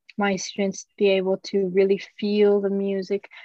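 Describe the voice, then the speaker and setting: Dry and close with no echo, a woman's medium-pitched voice has a dark, mellow tone and moves at a fairly slow pace. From Tokyo, Japan. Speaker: professional ballet dancer. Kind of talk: podcast interview. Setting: remote recording.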